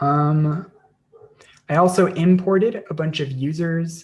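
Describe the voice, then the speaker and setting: This man speaks with an American accent at a fairly slow pace. His pitch is high for a man, with ordinary pitch variation. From United States. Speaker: online English teacher. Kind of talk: live-stream tutorial; casual chat. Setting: live stream. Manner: hesitant, many fillers.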